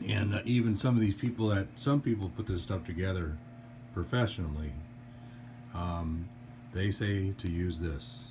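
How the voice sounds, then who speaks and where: Somewhat breathy and fairly low-pitched, a man speaks at a fairly slow pace with lively intonation. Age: 60s. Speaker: DIY furniture assembly hobbyist. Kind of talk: tutorial. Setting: indoors at daughter's house. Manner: casual, hesitant with fillers.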